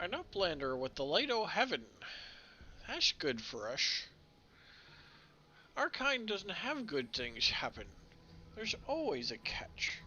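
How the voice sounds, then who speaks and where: A man puts on a character voice, high-pitched with very wide pitch swings. He goes at a fairly slow pace with long, frequent pauses. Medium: game stream. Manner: gruff, suspicious.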